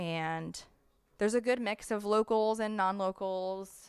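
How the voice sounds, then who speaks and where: The recording is very clean, with a silent background. A woman talks in an animated tone at medium pitch, with ordinary pitch variation. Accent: American. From United States. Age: 20s. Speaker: podcast host. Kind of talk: casual chat.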